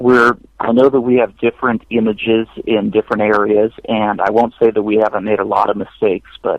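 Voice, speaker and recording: A man speaks at a medium pitch and a fairly quick pace. His intonation is monotone and flat, and his loudness stays very even. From United States. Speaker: war veteran. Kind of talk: interview. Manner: halting.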